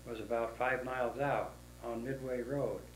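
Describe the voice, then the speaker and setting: Audible room echo surrounds a voice with an American accent and monotone, flat intonation. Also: man. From Dixon, California (US West). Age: 80s+. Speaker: oral history interviewee. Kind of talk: oral history interview. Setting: at his home. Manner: halting.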